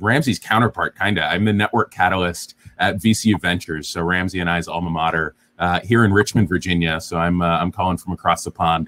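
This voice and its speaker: A man speaks with a very deep, low pitch and a bright, sharp tone. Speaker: startup founder. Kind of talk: panel discussion, online AMA. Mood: friendly, smiling. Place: home room. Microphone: earbuds.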